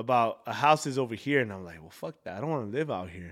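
In a very clean recording with a silent background, a man with a normal speaking voice talks at a medium pitch with lively intonation. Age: 20s. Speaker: podcast host. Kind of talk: casual chat.

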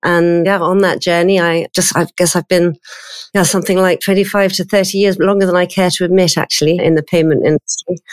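A woman with a southern English accent, medium in pitch, monotone and flat, fairly quick, in a dry, close sound with no echo. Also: very even loudness. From London, England. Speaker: payments executive. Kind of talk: interview.

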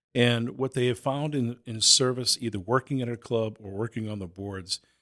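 A man's normal speaking voice at a medium pitch and moderate pace, ordinary pitch variation, in a very clean recording with a silent background and a dry, close sound with no echo. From Boston. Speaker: youth nonprofit executive. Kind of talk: interview.

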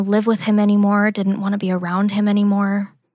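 Over a quiet background, a woman speaks in a somewhat breathy voice. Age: 20s. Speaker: abuse survivor sharing her story. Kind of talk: testimony. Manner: hesitant, many fillers.

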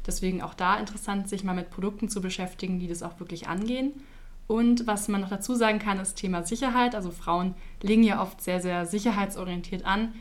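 In a room with audible echo, a woman speaks at a fairly quick pace and medium pitch, her intonation fairly even. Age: 20s. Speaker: insurance product marketer. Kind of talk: podcast interview.

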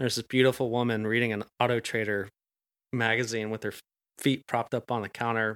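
A man speaks very fast at a medium pitch in an American accent, his intonation flat and monotone while his loudness swings widely. The sound is dry and close with no echo, on a very clean recording with a silent background. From Atlanta, US South. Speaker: chef. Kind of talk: casual chat.

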